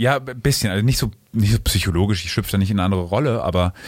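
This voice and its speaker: The speech moves at a very fast pace. Pitch variation is ordinary. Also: man. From Rhineland, Germany (Bonn). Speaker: stage actor. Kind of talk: interview.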